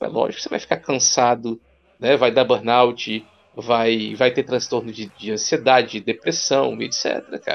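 Speaking at a fairly slow pace, a man uses fairly even intonation with vocal fry. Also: medium pitch for a man. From Rondônia, Brazil. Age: 30s. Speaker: psychologist and university lecturer. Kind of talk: casual chat.

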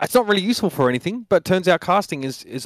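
A man with an Australian accent speaks at a very fast pace. The recording is very clean and silent in the background, dry and close with no echo. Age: 30s. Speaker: esports caster. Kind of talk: casual chat.

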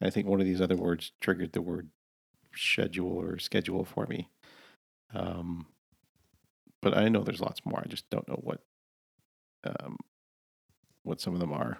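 A man's very deep, low voice with vocal fry, ordinary pitch variation, a moderate pace and long, frequent pauses, in a dry, close recording with no echo. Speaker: podcast co-host. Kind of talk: casual chat.

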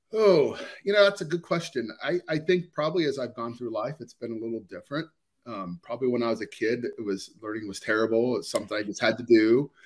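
The speech comes very fast in a Midwestern US accent, with lively intonation and big swings in loudness. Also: man, medium pitch for a man. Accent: US Midwest. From Ohio, US. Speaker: organizational psychologist. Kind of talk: interview. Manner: hesitant, many fillers.

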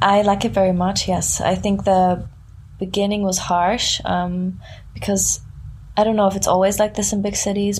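Somewhat breathy, a woman speaks at a moderate pace and a medium pitch. She has a German accent. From southern Germany near Frankfurt. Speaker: musician. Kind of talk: casual interview chat. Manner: halting.

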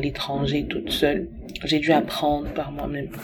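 A woman talking at a fairly slow pace over noticeable background noise. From Cameroon. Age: 20s. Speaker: testimony contributor. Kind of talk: recorded testimony.

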